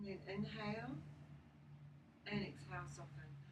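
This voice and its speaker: A woman in a calm, soothing tone at a moderate pace, with noticeable background noise. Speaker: yoga teacher. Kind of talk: guided yoga class instruction. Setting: home studio recorded with a phone. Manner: calm, soothing, instructional.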